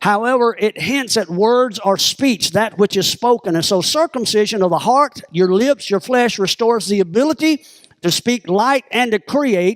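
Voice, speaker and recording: The speaker has a Southern US accent and an animated tone, with very even loudness and a dry, close sound with no echo. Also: man, high pitch for a man, ordinary pitch variation, hardly any pauses. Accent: southern drawl. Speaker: pastor. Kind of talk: sermon.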